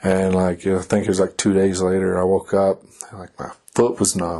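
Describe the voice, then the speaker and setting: A man with a Kentucky accent speaks at a fairly low pitch. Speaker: army soldier. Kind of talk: casual chat.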